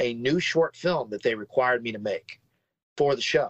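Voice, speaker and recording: At a moderate pace, a man with an American accent talks in a medium pitch with ordinary pitch variation. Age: 50s. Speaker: film director and composer. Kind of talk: casual chat.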